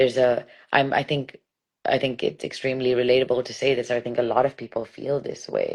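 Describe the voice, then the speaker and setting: A woman with an American accent talks at a fairly quick pace. Her pitch is very deep and low, her intonation flat and monotone. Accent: international accent that sounds American. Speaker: poet and stand-up comedian. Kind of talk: casual interview chat. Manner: clear enunciation, measured cadence.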